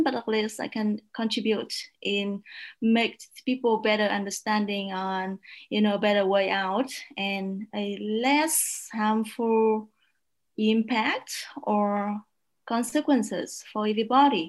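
A woman with a Vietnamese accent speaks fairly slowly at a fairly high pitch. The recording is very clean, with a silent background. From northern Vietnam, south of Hanoi. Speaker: media researcher. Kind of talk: panel discussion.

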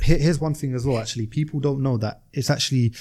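Very fast and somewhat breathy, a man talks in a dark, mellow tone with ordinary pitch variation. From South London. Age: 20s. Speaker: entrepreneur and private pilot. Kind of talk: casual chat.

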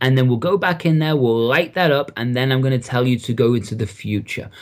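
With an English accent, a man talks at a fairly quick pace in a medium pitch. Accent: English accent, noticed by host. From Liverpool, England. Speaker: NLP coach and trainer. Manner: friendly, casual.

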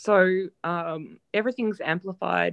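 Recorded dry and close with no echo, a woman speaks with an Australian accent. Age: 40s. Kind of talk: personal testimony. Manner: hesitant, many fillers.

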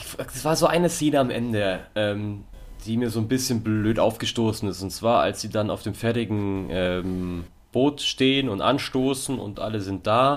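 Speaking at a fairly slow pace, a man with a medium pitch has a plain, everyday voice. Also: ordinary pitch variation. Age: 20s. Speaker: podcast co-host. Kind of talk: casual chat.

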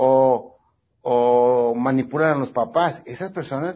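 Lively intonation in a man's somewhat breathy delivery. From northwestern Mexico (Sonora, Baja California). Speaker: plastic surgeon. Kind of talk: interview.

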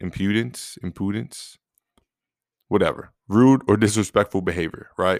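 A man with a plain, everyday voice and fairly low pitch, at a moderate pace with ordinary pitch variation, dry and close with no echo on a very clean recording with a silent background. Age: 30s. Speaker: podcast host. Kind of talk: solo motivational monologue. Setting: recording alone. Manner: casual with frequent fillers.

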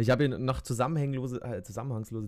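An ordinary speaking voice from a man, moderate in pace, with fairly even intonation. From Bavaria, Germany. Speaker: podcast co-host. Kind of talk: casual chat.

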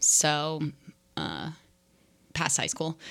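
A woman's very deep, low voice with a bright, sharp tone. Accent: American. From New Jersey, US. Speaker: co-host, best friend of host. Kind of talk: casual chat. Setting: kitchen table at home.

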